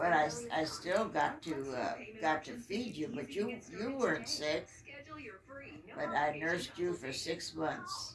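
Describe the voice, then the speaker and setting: Over noticeable background noise, a woman speaks at a fairly slow pace in a fairly low pitch with very wide pitch swings. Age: 90s. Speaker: mother of the channel owner. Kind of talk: casual chat. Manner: halting.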